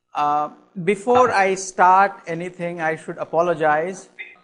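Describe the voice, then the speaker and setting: A man with an Indian accent speaks at a very slow pace, with a high pitch and fairly even intonation. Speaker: cognitive science lecturer. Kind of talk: lecture. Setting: classroom with audience.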